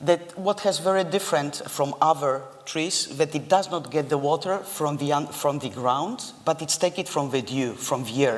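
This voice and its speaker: The speaker has a non-native accent and a moderate pace. Noticeable background noise runs underneath. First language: not English. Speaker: architect. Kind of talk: lecture.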